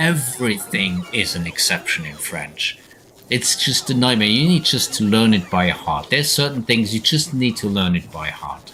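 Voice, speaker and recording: A man speaks at a moderate pace in a medium-pitched voice with very wide pitch swings. Noticeable background noise runs underneath. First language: German. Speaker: video game streamer. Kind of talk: live gameplay stream chat.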